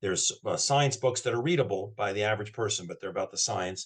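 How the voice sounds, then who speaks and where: A somewhat breathy man talks at a moderate pace with lively intonation. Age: 60s. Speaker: health practitioner promoting wellness product. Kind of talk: interview conversation. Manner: halting, with repetitions and false starts.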